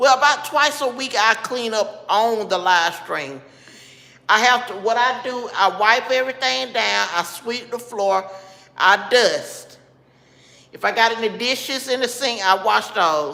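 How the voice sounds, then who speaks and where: This woman's voice is fairly high, with lively intonation. She speaks at a fairly slow pace in a Southern US accent. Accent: Southern US (Georgia). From Georgia, US South. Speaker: livestreamer. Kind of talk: casual chat. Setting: live stream. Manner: casual, conversational.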